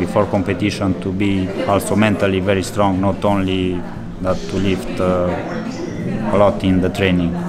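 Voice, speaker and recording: Clear music plays in the background as a man talks. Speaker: interviewee. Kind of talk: interview answer. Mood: reflective, calm. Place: cafe.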